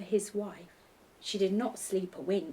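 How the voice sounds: The clip carries a natural reading voice. That voice continues from start to finish.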